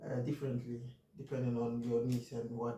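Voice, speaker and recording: A man with a non-native accent speaks at a medium pitch. His voice is somewhat breathy, with a dark, mellow tone. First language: not English. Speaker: finance YouTuber. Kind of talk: casual monologue. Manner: halting, many fillers.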